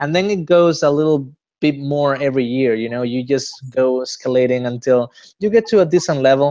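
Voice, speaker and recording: With a Spanish accent, a man talks fairly quickly in a dark, mellow tone, his fairly high pitch showing ordinary variation against a quiet background. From Spain, Granada. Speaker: interviewee, Spanish speaker. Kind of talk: interview. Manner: halting, many fillers.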